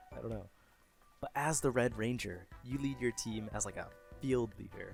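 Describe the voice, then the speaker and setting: Music plays in the background as a man speaks at a moderate pace. His medium pitch has ordinary variation. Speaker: YouTube commentator on games. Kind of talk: casual talk to camera.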